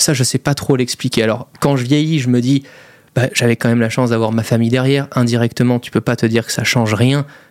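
A man's ordinary speaking voice at medium pitch. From Monaco. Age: 20s. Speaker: YouTuber and entrepreneur. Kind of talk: casual interview.

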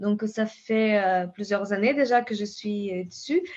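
Against a quiet background, the speaker talks at a very slow pace in a Brazilian accent. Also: woman. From southern Brazil (Pampa). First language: Portuguese (speaking French). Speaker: scientist and company founder. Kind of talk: interview. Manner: halting, many repetitions and fillers.

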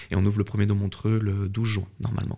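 A man speaks very fast in a somewhat breathy voice, with a fairly low pitch and monotone, flat intonation. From French-speaking Switzerland. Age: 30s. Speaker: fitness entrepreneur. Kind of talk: interview.

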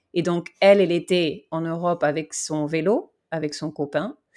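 In a very clean recording with a silent background, a woman speaks at a moderate pace. Her very deep, low voice comes with an English accent. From Vanuatu and Australia. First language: English (speaking French). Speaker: cyclist. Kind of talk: interview. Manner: halting, many fillers and repetitions.

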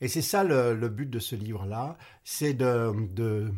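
With an English accent, the speaker goes at a very slow pace with lively intonation on a very clean recording with a silent background. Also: man. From English-speaking Canada. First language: English (speaking French). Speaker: retired doctor and author. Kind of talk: interview.

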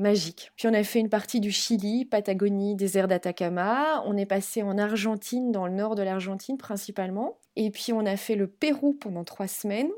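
A woman speaks at a medium pitch and moderate pace in an ordinary speaking voice, with ordinary pitch variation. She barely pauses, and the recording is very clean with a silent background. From Belgium. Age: 40s. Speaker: travel professional and expat mother. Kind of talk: interview.

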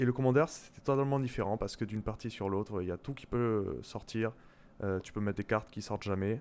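A man's fairly low voice at a very fast pace, with ordinary pitch variation and big swings in loudness. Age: 30s. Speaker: software developer. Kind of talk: casual chat. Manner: hesitant.

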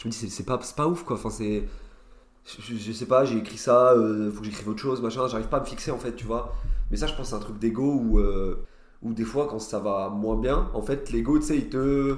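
The man's intonation stays fairly even. There is audible room echo. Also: medium pitch for a man, moderate pace. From France, Nancy (Lorraine). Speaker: stand-up comedian. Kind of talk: casual chat.

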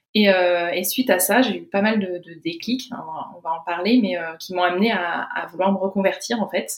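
With a plain, everyday voice, a woman speaks at a moderate pace, with ordinary pitch variation and big swings in loudness. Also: medium pitch for a woman. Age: 20s. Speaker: naturopathy student. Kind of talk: interview.

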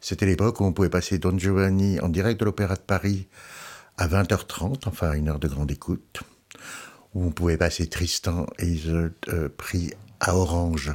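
A man with a very deep, low pitch talks at a fairly slow pace, leaving long, frequent pauses. His pitch variation is ordinary, his loudness very even, and the recording very clean with a silent background. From Alsace, France. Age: 60s. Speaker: opera publications editor. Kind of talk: interview. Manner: halting.

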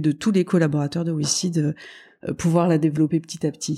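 Dark and mellow, a woman's voice with a very deep, low pitch speaks with monotone, flat intonation on a very clean recording with a silent background. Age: 40s. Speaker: company CEO. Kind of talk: interview. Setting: office. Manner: halting.

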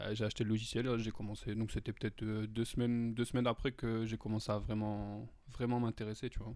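A monotone with flat intonation at a fairly quick pace. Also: man, medium pitch for a man. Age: 20s. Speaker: amateur beatmaker and pool worker. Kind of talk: casual chat. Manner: casual slangy speech.

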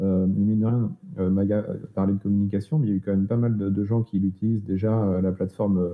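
The speaker barely pauses and keeps a moderate pace. Intonation stays fairly even, and loudness is very even throughout. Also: man. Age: 40s. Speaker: web agency co-founder. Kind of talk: interview. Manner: halting, many repetitions.

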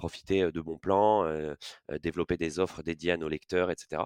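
A man speaks at a fairly quick pace with a very deep, low pitch. The recording is very clean with a silent background. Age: 30s. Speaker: head of partnerships at a fintech. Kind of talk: casual interview. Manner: hesitant, frequent fillers and repetitions.

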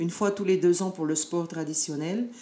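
This woman has an unremarkable speaking voice, fairly low in pitch, and moves at a moderate pace. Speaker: dance group leader and education adviser. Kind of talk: interview.

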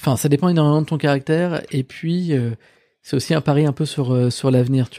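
Dark, mellow tone at a fairly quick pace, fairly even intonation, dry and close with no echo, very clean recording over a silent background. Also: man, fairly high pitch for a man. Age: 30s. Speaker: startup founder. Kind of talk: casual interview. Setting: office.

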